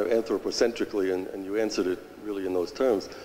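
The words come very fast. A man is the one speaking. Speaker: audience member. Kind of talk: audience question. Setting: church with audience. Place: church.

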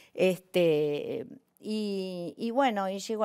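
With a quiet background, a woman speaks with ordinary pitch variation. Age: 60s. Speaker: actress and comedian; actress, comedian. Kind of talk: personal testimony on a talk show. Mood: emotional, moved. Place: studio. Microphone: lapel.

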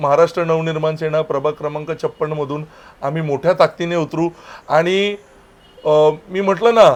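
A man's fairly high-pitched, normal speaking voice with fairly even intonation. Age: 30s. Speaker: local party official. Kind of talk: political interview.

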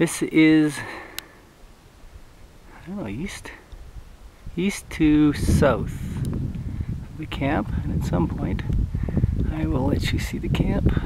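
Loud background noise runs beneath a very slow delivery broken by long, frequent pauses, and the sound is dry with no echo. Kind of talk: casual vlog chat. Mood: relaxed, amused. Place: open country. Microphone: phone near.

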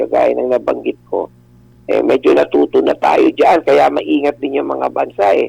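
The sound is close and dry, without any echo. Speech moves at a moderate pace. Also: man. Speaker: lawyer and political analyst. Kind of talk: radio interview.

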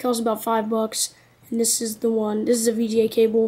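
Somewhat breathy and fairly quick, a woman speaks with monotone, flat intonation. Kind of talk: casual unboxing talk to camera.

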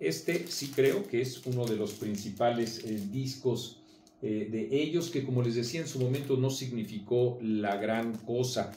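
Amid light background noise and audible room echo, a man talks at a fairly slow pace in a somewhat breathy voice with ordinary pitch variation. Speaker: magazine commentator. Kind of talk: casual video commentary. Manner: hesitant with many fillers. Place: home room. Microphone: camera far.

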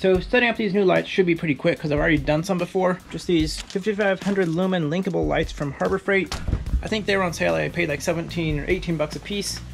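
Faint music sits in the background as the voice races at a very fast pace with fairly even intonation. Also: man, high pitch for a man. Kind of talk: casual vlog chat. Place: workshop. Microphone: phone near.

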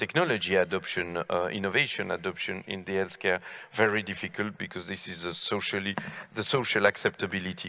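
Against a quiet background, a normal speaking voice talks with fairly even intonation. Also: man. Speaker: panel moderator giving conclusion. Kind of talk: panel discussion remarks. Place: stage. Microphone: headset.

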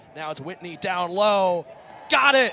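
A man talks at a moderate pace with a high-pitched voice. Noticeable background noise runs under the speech. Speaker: play-by-play commentator. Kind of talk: live play-by-play lacrosse commentary, calling passes and goals in real time. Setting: stadium broadcast booth.

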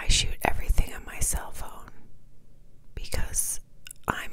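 Whispering unfolds at a fairly slow pace. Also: woman. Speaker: ASMR creator. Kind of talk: casual talk to camera. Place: home room. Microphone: lapel.

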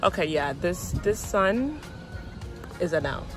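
Dry sound with no echo, clear music in the background. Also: woman. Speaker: fashion vlogger. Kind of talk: casual vlog chat. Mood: cheerful, lightly amused. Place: street. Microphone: phone near.

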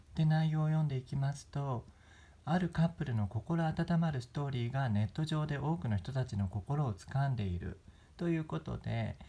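With a dark, mellow tone and some breathiness, a man speaks at a fairly high pitch and moderate pace with lively intonation, on a very clean recording with a silent background. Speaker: YouTuber. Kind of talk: news commentary vlog. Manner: polite, formal.

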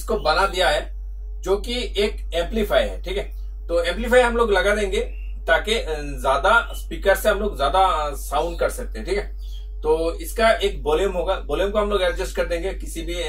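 Against faint music in the background, a man speaks at a moderate pace with long, frequent pauses. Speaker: presenter. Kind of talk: tutorial. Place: workshop.

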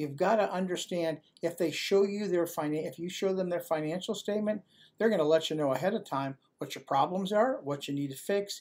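Ordinary pitch variation in a high male voice moving at a fairly quick pace. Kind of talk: advice monologue to camera. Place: home room. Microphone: webcam.

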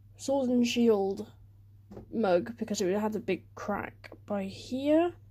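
A woman with a British accent, somewhat breathy, fairly high in pitch, at a very slow pace. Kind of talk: casual talk to camera.

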